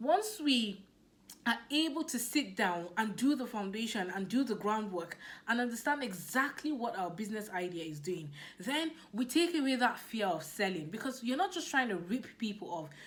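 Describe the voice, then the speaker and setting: A woman with a Nigerian accent speaks in an animated, somewhat breathy voice at a fairly high pitch and moderate pace, with very wide pitch swings. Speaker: business coach. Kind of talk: motivational talk.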